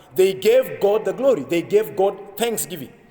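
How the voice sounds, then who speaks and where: Amid noticeable background noise, a man speaks at a moderate pace in a high voice. His intonation is lively. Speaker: pastor. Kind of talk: sermon preaching.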